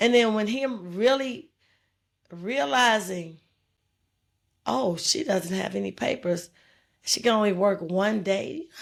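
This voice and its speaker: A woman speaks at a very slow pace with a medium pitch. Her intonation is lively, broken by long, frequent pauses. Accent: American. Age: 50s. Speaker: interviewee sharing life story. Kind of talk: interview conversation. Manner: casual, conversational.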